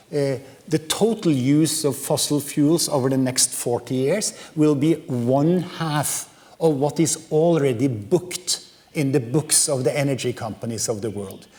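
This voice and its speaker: Against noticeable background noise, a man talks slowly-ish at a fairly high pitch with ordinary pitch variation. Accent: Norwegian. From Norway. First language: Norwegian. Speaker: professor. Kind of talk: lecture. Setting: lecture hall with audience. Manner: hesitant, many fillers.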